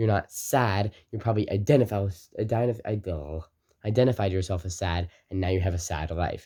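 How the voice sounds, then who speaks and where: This man talks at a fairly quick pace with a fairly low pitch, ordinary pitch variation and a dark, mellow, somewhat breathy tone. The recording is very clean, the background silent. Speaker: motivational video creator. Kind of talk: motivational talk to camera. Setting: recording to camera. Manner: fast; energetic.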